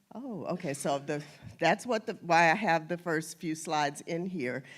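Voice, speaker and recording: A woman with a normal speaking voice, fairly low in pitch, with ordinary pitch variation at a moderate pace, on a very clean recording with a silent background. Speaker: genealogy presenter. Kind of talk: lecture.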